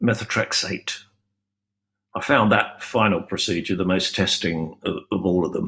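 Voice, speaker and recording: The man's bright, sharp tone comes with a British accent. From UK. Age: 70s. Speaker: cancer patient. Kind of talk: personal testimony. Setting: virtual conference.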